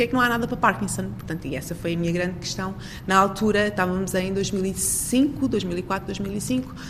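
At a moderate pace, a woman speaks with a medium pitch and ordinary pitch variation. The recording carries audible room echo and noticeable background noise. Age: 40s. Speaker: researcher and professor. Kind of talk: interview.

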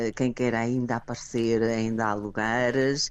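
A woman speaks with a Porto accent. Her pace is fairly slow. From Portugal, Porto. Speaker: conference organizer. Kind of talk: radio interview.

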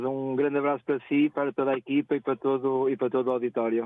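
In a monotone, flat intonation, the words come out at a very fast pace. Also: man. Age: 40s. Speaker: ride-hailing driver. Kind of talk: radio phone-in chat. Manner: halting, many repetitions.

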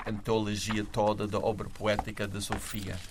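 The man's voice sits fairly low. He takes his words very slowly. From USA. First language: English (speaking Portuguese). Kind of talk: literary discussion.

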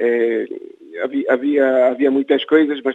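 A man speaking at a very slow pace. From Guinea-Bissau. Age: 60s. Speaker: writer and former independence activist. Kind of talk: interview. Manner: halting, many repetitions.

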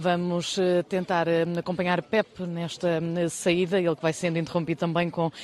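A woman's fairly low voice at a fairly slow pace, monotone and flat in intonation. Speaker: TV reporter. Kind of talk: live field report. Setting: outdoors at a sanctuary with crowd.

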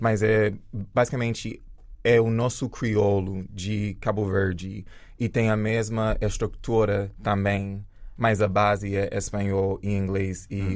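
In a flat monotone, a man speaks with a fairly low pitch. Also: fairly slow pace. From rural Jamaica. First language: English (speaking Portuguese). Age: 30s. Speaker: dancer and choreographer. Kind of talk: interview.

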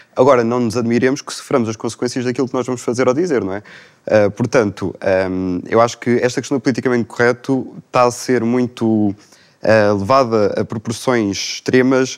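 A man's ordinary speaking voice at medium pitch, with fairly even intonation, a moderate pace, hardly any pauses and a quiet background. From Portugal, Lisbon area. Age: 20s. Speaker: young panel guest. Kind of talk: panel discussion.

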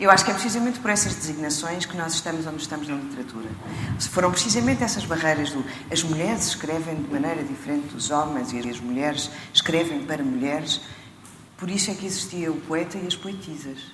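With a European Portuguese accent, a woman talks at a very fast pace in a very deep, low pitch with lively intonation, over noticeable background noise and audible room echo. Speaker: writer and actress. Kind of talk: panel discussion.

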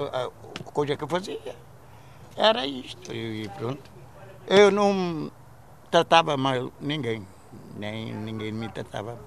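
Speaking at a very slow pace with long, frequent pauses, a man with a medium-pitched voice makes very wide pitch swings and big swings in loudness. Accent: Cape Verdean. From Cape Verde, Santiago island. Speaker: retired immigrant miner. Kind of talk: interview testimony. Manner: halting.

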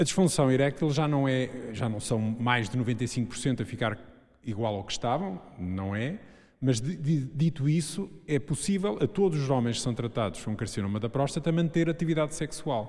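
Using an ordinary speaking voice, a man of medium pitch talks at a moderate pace with lively intonation. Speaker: urologist. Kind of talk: public panel discussion. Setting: stage with audience.

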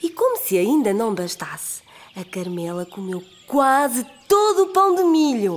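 A woman with a European Portuguese accent speaks at a high pitch and a fairly slow pace. Her tone is animated, with very wide pitch swings. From Portugal, Aveiro. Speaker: storyteller. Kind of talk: children's storytelling. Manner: animated, voices characters.

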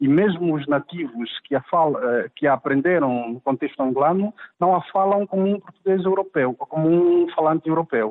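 At a moderate pace, a man talks in a fairly high voice with very even loudness. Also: ordinary pitch variation. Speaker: linguist. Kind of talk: interview. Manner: halting, many repetitions and fillers.

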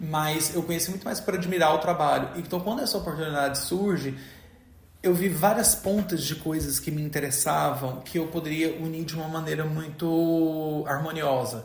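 There is audible room echo and noticeable background noise. Over it, a man speaks at a moderate pace with fairly high pitch and fairly even intonation. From Brazil, Goiás (rural interior). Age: 30s. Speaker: textile artist. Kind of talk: interview testimony.

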